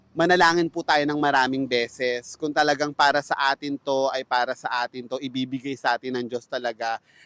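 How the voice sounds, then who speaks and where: On a very clean recording with a silent background, a man speaks at a moderate pace in a bright, sharp tone with ordinary pitch variation, the sound dry and close with no echo. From Philippines. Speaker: vlogger, fast food worker. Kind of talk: vlog monologue. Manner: polite.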